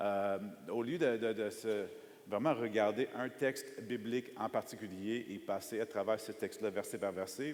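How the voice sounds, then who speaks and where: Speaking at a fairly slow pace with an American accent, the voice shows ordinary pitch variation. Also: man. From United States. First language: English (speaking French). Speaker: preacher. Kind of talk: sermon. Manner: hesitant, many fillers.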